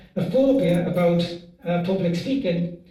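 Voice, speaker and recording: A man speaks in a high voice. Audible room echo and noticeable background noise surround him. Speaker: after-dinner speaker. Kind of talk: humorous toast speech.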